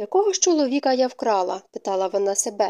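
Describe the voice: What you hear is plain reading aloud.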